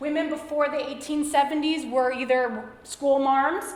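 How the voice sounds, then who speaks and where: Over noticeable background noise and audible room echo, a woman speaks in a high pitch with ordinary pitch variation. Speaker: lecturer, teacher. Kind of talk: lecture. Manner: fast; animated.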